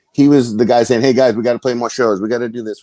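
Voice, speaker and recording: The voice has an American accent and a dark, mellow tone. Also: man, dry, close sound with no echo. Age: 50s. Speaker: metal guitarist. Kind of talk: interview. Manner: repetitive stammering.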